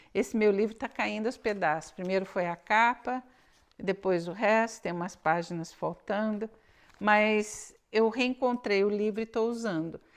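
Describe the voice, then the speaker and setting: Speaking with a Brazilian accent, a woman has a fairly high pitch and ordinary pitch variation. Her pace is fairly slow. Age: 60s. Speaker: knitting podcaster. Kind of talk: casual chat. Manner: halting.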